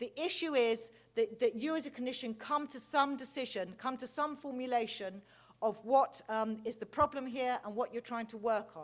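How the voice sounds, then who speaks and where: Speaking with an English accent, the voice shows ordinary pitch variation and big swings in loudness. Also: woman, high pitch for a woman. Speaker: clinical researcher. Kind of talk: conference lecture. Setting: stage with large audience. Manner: fast.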